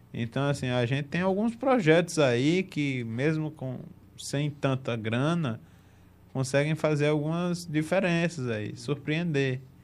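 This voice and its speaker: A man with a fairly high pitch speaks at a very slow pace. He has a strong northeastern Brazilian accent. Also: ordinary pitch variation. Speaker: football podcast host. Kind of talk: casual chat.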